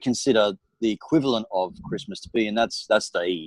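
A man with an Australian accent speaks at a moderate pace in a fairly low pitch with ordinary pitch variation, recorded very cleanly against a silent background with a dry, close sound and no echo. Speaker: property investment strategist. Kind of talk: interview chat.

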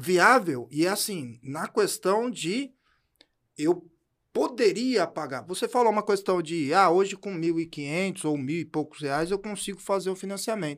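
Over a silent background in a very clean recording, a high-pitched man speaks at a fairly slow pace with lively intonation. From São Paulo, Brazil. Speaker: podcast co-host. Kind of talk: casual chat.

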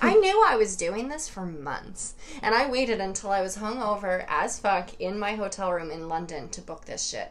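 A woman of medium pitch speaks at a fairly slow pace with ordinary pitch variation, amid audible room echo and noticeable background noise. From New York, Hudson Valley. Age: 20s. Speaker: dating podcast guest. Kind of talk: casual chat.

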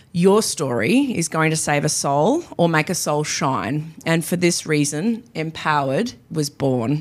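A woman with an Australian accent talks in a very deep, low pitch, her tone animated and her intonation lively. She goes at a fairly slow pace with hardly any pauses. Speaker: podcast host. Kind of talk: solo podcast monologue. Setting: professional podcasting studio. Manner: loud.

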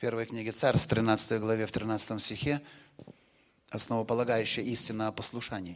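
Here a man talks at a moderate pace with medium pitch and fairly even intonation. His speech has long, frequent pauses. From Western Ukraine. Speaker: pastor. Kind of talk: sermon. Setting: church. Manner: short phrases with pauses for interpreter.

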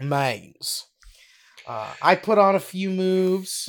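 A man talks in an animated tone. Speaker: podcast co-host. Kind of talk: casual chat. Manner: animated, laughs often.

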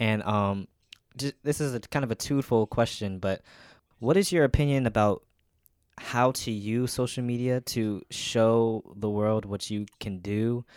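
A man's normal speaking voice at a medium pitch, fairly slow in pace with ordinary pitch variation, on a very clean recording with a silent background. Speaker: podcast host. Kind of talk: casual interview.

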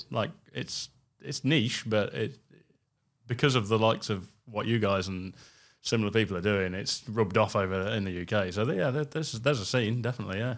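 At a fairly quick pace, a man with an East Midlands accent speaks at a fairly low pitch with ordinary pitch variation. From England. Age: 40s. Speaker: car restoration company co-founder and designer. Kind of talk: interview conversation. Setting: studio.

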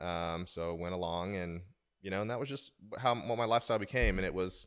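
In a very clean recording with a silent background, a man with an American accent and an ordinary speaking voice talks at a fairly quick pace, fairly low in pitch with lively intonation. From Oklahoma. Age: 30s. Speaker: golf fitness coach, podcast co-host. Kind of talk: casual chat.

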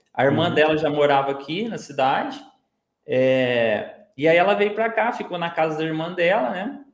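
Amid audible room echo, a man with a fairly high pitch speaks at a moderate pace, his pitch swinging very widely. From Minas Gerais, Brazil. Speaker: digital marketer, former bus conductor. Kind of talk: casual interview chat.

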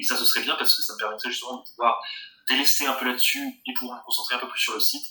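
A man is speaking against noticeable background noise. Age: 30s. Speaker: board game shop owner. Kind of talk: interview.

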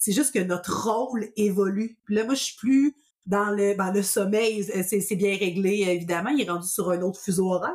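A woman speaks with a Quebec accent at medium pitch. She uses ordinary pitch variation and hardly any pauses. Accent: Québécois French. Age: 30s. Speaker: podcast host, sleep consultant. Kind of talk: casual interview. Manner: animated.

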